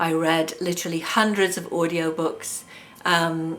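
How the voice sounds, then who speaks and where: Here a woman speaks with a fairly low pitch. Her pace is fairly slow. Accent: English. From England. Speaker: hypnotherapist. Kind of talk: self-introduction video monologue. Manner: hesitant, many fillers.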